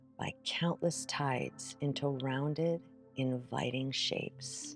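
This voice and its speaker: A woman speaks at a very slow pace with music in the background. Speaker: meditation guide. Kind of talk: guided meditation. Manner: soft-spoken.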